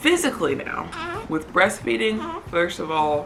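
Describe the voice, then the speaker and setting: Over noticeable background noise, a woman speaks in a calm tone. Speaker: vlogger, new mother. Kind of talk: casual vlog update. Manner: lowered voice, quieter so baby stays calm.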